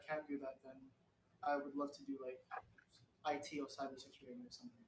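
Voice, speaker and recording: A man with a British accent, fairly high-pitched, at a very fast pace. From UK. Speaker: actor, showbiz newcomer. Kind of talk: interview. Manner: halting, many restarts.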